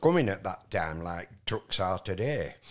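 A man with a Yorkshire accent in a very clean recording, silent background. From northern England, West Riding of Yorkshire. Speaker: retired haulage business owner and musician. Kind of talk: casual interview, life story. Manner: halting, many fillers.

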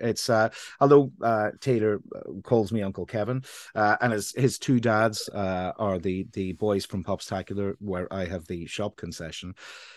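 A man with a Northern Irish accent speaks at a moderate pace in a fairly low pitch, his pitch varying in an ordinary way against a quiet background. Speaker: radio show co-host. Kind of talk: casual chat.

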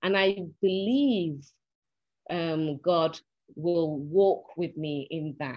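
A woman speaks at a very slow pace in a Mancunian accent, with long, frequent pauses. Her pitch is fairly low and her intonation lively. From Manchester, northern England. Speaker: actress. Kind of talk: casual chat.

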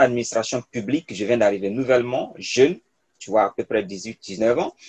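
A man speaks in a normal speaking voice at a medium pitch and a fairly quick pace. The sound is dry and close, with no echo. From Côte d'Ivoire (Burkinabe diaspora). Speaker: public policy researcher and youth leader. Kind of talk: interview, personal story.

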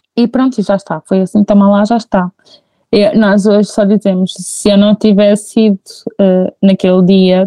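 In a dry, close sound with no echo, a woman with a dark, mellow tone speaks at a medium pitch and a moderate pace. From Portugal, Figueira da Foz. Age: 20s. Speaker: mother telling her birth stories. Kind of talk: testimony in casual chat. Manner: animated.

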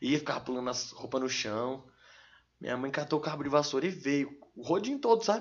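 A man's normal speaking voice, fairly high in pitch, at a fairly quick pace. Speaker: rapper. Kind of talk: casual chat. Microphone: too far from the mic.

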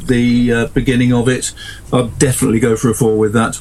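Noticeable background noise surrounds this recording. A man speaks at medium pitch and a fairly quick pace. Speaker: author. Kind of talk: casual chat.

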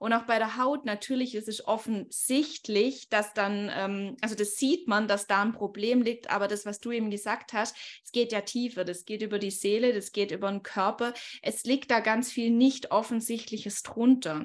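A woman speaks in a normal speaking voice, fairly high in pitch with fairly even intonation. The recording is very clean, with a silent background. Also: moderate pace. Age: 20s. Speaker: life coach. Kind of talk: podcast interview.

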